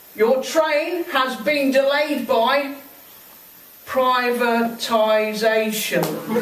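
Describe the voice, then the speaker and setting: Speaking very slowly with ordinary pitch variation, a woman with a high voice comes through over noticeable background noise. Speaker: poet and railway trade union member. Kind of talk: spoken word poetry performance at a live event. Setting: live venue, in front of an audience. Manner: humorous, comedic delivery.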